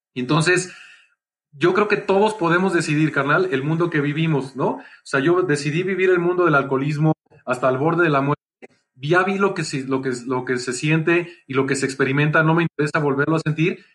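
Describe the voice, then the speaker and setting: Speaking at a fairly quick pace, a man with a Mexican accent has a fairly high-pitched voice. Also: ordinary pitch variation. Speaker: entrepreneur and speaker. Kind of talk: casual chat.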